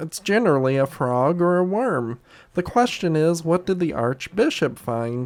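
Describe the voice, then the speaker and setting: Putting on a character voice, a man talks at a moderate pace with a fairly high pitch. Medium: read story.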